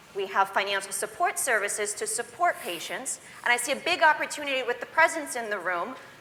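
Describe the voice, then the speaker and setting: Her pitch swings very widely as the woman talks at a fairly quick pace. Background noise can be clearly heard. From immigrant, grew up in the US. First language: not English. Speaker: patient advocate. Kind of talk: panel discussion. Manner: animated.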